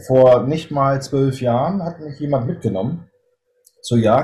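A man talks at a moderate pace and medium pitch with ordinary pitch variation. His tone is dark and mellow, and his voice somewhat breathy. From northern Germany. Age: 40s. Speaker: hunting filmmaker and police officer. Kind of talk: interview. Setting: video call.

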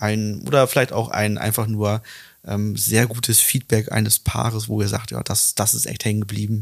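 In a normal speaking voice, a man talks at a fairly low pitch and moderate pace with fairly even intonation. The recording is very clean, with a silent background. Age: 30s. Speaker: relationship coach and podcast host. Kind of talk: casual interview.

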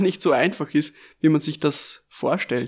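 In an Austrian accent, a man speaks fairly slowly at a fairly high pitch with fairly even intonation, on a very clean recording with a silent background. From Lower Austria, Melk district. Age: 20s. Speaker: sommelier and podcast host. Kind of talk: scripted podcast introduction.

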